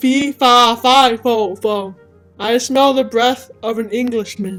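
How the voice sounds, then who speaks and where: A female-sounding put-on character voice with a fairly high pitch speaks at a fairly slow pace. Faint music plays in the background. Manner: terrible, booming.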